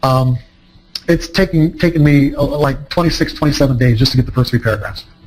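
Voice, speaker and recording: A man speaks at a fairly quick pace with a fairly high pitch and ordinary pitch variation. His voice is somewhat breathy, and his loudness stays very even. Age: 60s. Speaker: trading psychology author and speaker. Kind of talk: seminar talk to a live audience. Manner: halting, many fillers and restarts.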